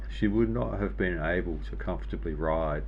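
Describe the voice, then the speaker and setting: Speaking at a moderate pace with lively intonation, a man with an Australian accent and a very deep, low pitch comes through audible room echo and noticeable background noise. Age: 60s. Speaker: cycling industry veteran. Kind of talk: interview.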